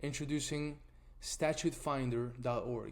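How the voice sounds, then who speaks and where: This is a man with an Argentine accent. His voice sits at a fairly high pitch. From Argentina. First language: Spanish. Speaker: nonprofit tool founder presenting. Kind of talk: webinar presentation.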